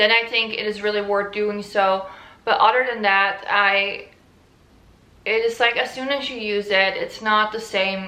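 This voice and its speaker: With a Dutch accent, a woman speaks fairly slowly at a fairly high pitch with fairly even intonation and audible room echo. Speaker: fashion YouTuber. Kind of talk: casual vlog talk.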